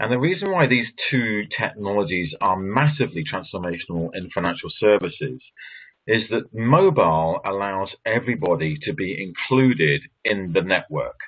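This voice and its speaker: Speaking in an English accent, a man has a fairly low pitch. His intonation is lively and his pace moderate. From England. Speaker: author and banking commentator. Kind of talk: presentation.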